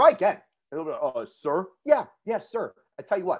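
A man talks with vocal fry. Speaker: police officer and drill instructor.

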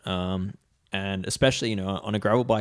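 A man speaks in a plain, everyday voice, fairly low in pitch, at a moderate pace. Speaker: cycling podcast host. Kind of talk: casual banter, tech discussion.

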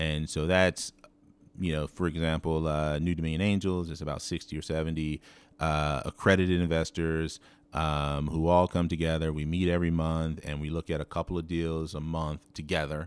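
A man's very deep, low voice with monotone, flat intonation at a moderate pace, on a very clean recording with a silent background. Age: 40s. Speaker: entrepreneur and investor. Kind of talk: casual interview. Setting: in person.

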